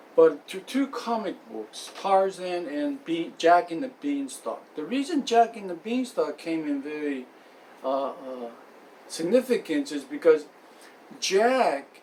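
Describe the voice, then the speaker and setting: Over noticeable background noise, a high-pitched man speaks at a very slow pace, with very wide pitch swings and big swings in loudness. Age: 40s. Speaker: aspiring writer telling life story. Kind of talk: unscripted personal monologue. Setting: friend's house. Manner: halting, many fillers and restarts.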